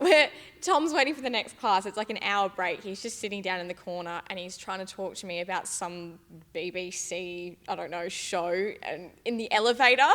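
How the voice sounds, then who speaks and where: A bright, sharp tone with an Australian accent, a moderate pace, ordinary pitch variation and big swings in loudness. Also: woman, medium pitch for a woman. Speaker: gym staff member. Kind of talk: casual chat.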